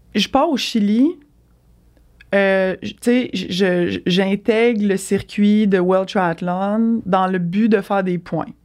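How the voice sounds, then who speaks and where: A woman speaks at a very slow pace in a medium pitch, with ordinary pitch variation, on a very clean recording against a silent background. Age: 30s. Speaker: triathlete, former elite swimmer. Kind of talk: casual interview.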